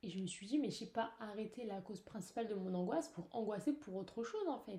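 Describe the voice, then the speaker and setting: A woman speaks very fast at a fairly high pitch, with very wide pitch swings. Her voice is somewhat breathy, with a dark, mellow tone. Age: young. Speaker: podcaster. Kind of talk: personal monologue. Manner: hesitant, many fillers. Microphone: poor recording.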